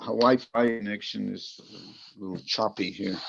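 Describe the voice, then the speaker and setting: This is a man speaking at a fairly low pitch. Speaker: swami. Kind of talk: online class discussion. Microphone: choppy Wi-Fi connection.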